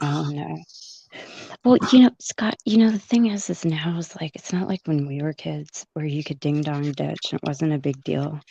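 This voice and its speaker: Soft-spoken, a woman talks at a moderate pace with a very deep, low pitch, lively intonation and a dark, mellow tone, the sound dry and close with no echo. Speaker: caller. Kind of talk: casual chat.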